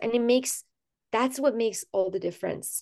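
Her voice fairly high in pitch, a woman speaks in a dark, mellow tone with ordinary pitch variation. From Iran. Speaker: physician. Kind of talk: interview.

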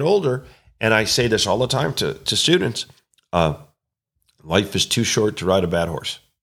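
A man speaks at a moderate pace. The recording is very clean with a silent background. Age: 50s. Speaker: horse trainer and clinician. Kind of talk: casual chat. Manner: halting, many repeated words.

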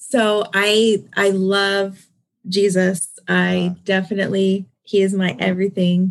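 In an American accent, the speaker talks at a very slow pace with monotone, flat intonation and very even loudness. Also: woman, medium pitch for a woman. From Southern California. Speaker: non-profit founder and hairstylist. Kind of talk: interview.

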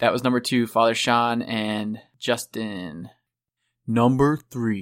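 A man with an Ohio accent speaks with fairly even intonation in a very clean recording against a silent background. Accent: Ohio, ooh-sound vowels. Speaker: podcast host. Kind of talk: casual chat.

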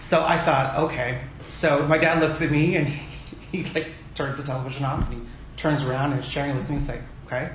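There is noticeable background noise and audible room echo as a man with a fairly high pitch talks at a fairly quick pace. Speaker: drag pageant titleholder. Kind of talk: casual chat. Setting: conference room. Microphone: echo in room.

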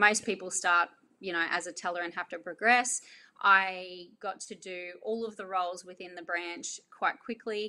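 Spoken at a moderate pace with an Australian accent, the voice has a bright, sharp tone and ordinary pitch variation. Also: woman. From Australia, North Queensland. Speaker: business owner. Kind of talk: interview.

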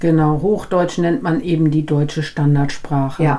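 A woman talks fairly slowly while audible room echo and noticeable background noise fill the recording. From Germany, raised from age three; Dutch family. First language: Dutch (speaking German). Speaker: podcast co-host, business German teacher. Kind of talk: casual educational chat.

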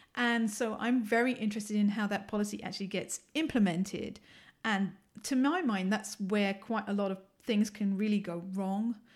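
A woman's somewhat breathy voice with a strong London accent and fairly even intonation, on a very clean recording with a silent background. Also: medium pitch for a woman, moderate pace. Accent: London English, still fairly strong. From London, England. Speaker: assistant professor. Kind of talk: casual interview chat.

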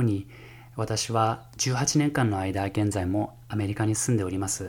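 A man's somewhat breathy speech, its pitch varying in an ordinary way. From Japan, Fukushima. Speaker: music professor and jazz pianist. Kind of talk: solo podcast monologue. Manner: formal.

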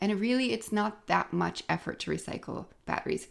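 Talking at a fairly quick pace, a woman with a medium pitch shows vocal fry. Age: 40s. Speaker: podcast host and zero waste shop owner. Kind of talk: solo podcast monologue. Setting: home office.

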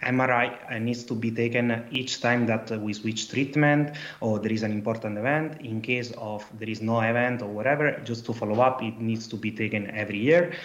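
A man speaks with an Italian accent at a medium pitch. His pace is moderate and his intonation fairly even. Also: hardly any pauses. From Italy. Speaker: PhD researcher. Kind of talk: casual chat.

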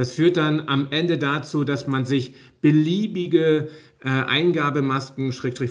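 A man talks over noticeable background noise. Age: 40s. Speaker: software company managing director. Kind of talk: interview.

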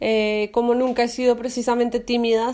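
Her tone is dark and mellow, and her intonation is monotone and flat. The woman keeps a moderate pace. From Colombia. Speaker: podcast co-host, fashion creative consultant. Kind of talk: casual chat.

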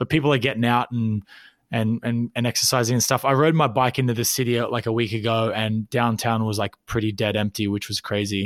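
A man with an Australian accent and medium pitch speaks at a fairly quick pace with fairly even intonation, recorded dry and close with no echo. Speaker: podcast co-host. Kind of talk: casual chat. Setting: remote call from home.

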